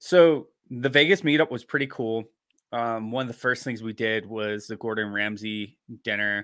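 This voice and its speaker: The man's bright, sharp voice sits at medium pitch and moves at a moderate pace. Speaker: podcast co-host. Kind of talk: casual chat. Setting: remote call.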